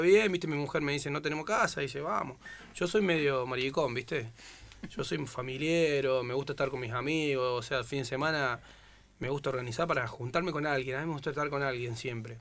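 At a fairly quick pace, a man with a fairly high pitch speaks in a plain, everyday voice. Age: 30s. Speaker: footballer. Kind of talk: casual chat.

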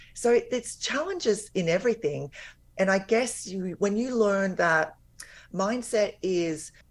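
With an Australian accent, a woman talks at a fairly slow pace, her medium pitch showing ordinary variation. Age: 50s. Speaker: weight loss and life coach. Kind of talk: interview. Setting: remote call, audio only.

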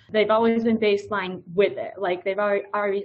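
Medium pitch marks this voice. It belongs to a woman. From rural US. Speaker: nurse and Spanish teacher. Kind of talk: casual interview. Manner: talkative.

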